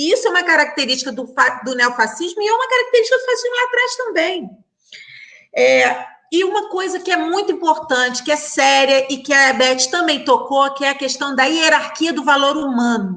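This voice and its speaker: A woman projects a raised voice with a bright, sharp tone. Her high pitch moves in very wide swings. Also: moderate pace. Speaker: criminal judge on a debate panel. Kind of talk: online panel debate. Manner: halting, many repetitions.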